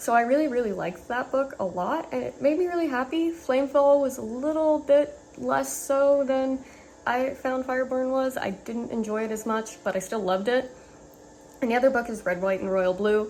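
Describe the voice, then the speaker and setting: A woman with a high voice speaks with ordinary pitch variation over noticeable background noise. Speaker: book youtuber. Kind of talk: casual vlog. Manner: fast.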